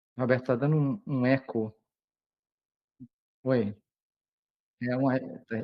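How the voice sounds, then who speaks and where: A man at a fairly slow pace, with long, frequent pauses and fairly even intonation. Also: medium pitch for a man. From Brazil, Minas Gerais. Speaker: periodontist lecturer. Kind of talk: lecture. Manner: halting, many fillers. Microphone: echo, audio doubling.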